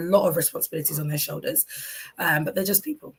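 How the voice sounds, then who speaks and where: A woman speaks with a London accent. Her voice is somewhat breathy. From London, England. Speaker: talk show host. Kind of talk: solo talk show monologue. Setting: live stream.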